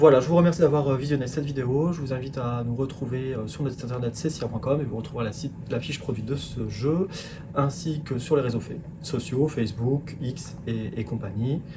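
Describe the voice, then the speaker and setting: At a fairly quick pace, a man speaks in a medium pitch with ordinary pitch variation and audible room echo. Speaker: product presenter. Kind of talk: product presentation. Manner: halting, many fillers.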